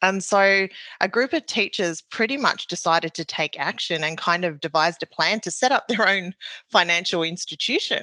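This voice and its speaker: Recorded against a quiet background, the voice has a New Zealand accent and a bright, sharp tone, with a dry, close sound and no echo. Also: woman, medium pitch for a woman, ordinary pitch variation, moderate pace. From New Zealand, Maori. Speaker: bank process manager. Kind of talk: interview answers. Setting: remote call.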